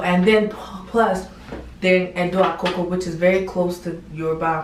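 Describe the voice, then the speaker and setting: A woman with a fairly low voice speaks at a moderate pace. Room echo is audible and background noise is noticeable. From United States, raised from age six. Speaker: YouTuber. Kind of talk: casual vlog talk. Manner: casual, filler-heavy.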